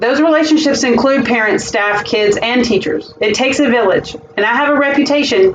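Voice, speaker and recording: In a Southern US accent, a woman speaks at a fairly quick pace with ordinary pitch variation while noticeable background noise runs underneath. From US South, South Carolina. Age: 40s. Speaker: school administrator. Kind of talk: job interview presentation. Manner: formal.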